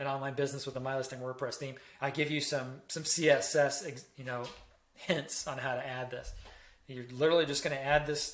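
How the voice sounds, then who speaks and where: A man speaks at a fairly quick pace with a fairly high pitch and a monotone, flat delivery, and the room echo is audible. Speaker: web design tutorial creator. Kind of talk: tutorial. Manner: casual with many fillers.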